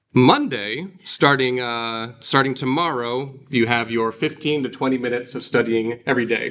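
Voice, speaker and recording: A man's medium-pitched voice with a bright, sharp tone, fairly even intonation, a moderate pace and hardly any pauses. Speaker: Greek teacher. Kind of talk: lecture.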